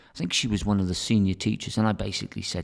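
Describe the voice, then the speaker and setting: A man speaks with an English accent at a fairly low pitch. The recording is very clean, with a silent background. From England. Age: 60s. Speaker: teacher and academic director. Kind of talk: interview conversation.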